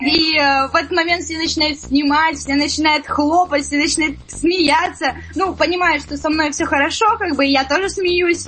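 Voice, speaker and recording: A woman talks at a moderate pace with hardly any pauses over noticeable background noise. Her high voice keeps a fairly even intonation. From Siberia, Zabaykalsky Krai. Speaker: singer-songwriter. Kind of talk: radio interview. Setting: studio.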